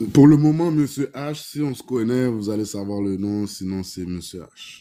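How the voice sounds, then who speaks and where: A man speaks at a medium pitch in a dark, mellow tone. His intonation is lively, with big swings in loudness. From Haitian community of Montreal. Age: 30s. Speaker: konpa dancer. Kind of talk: dating show interview. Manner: casual, mixing in English; halting, repetitive.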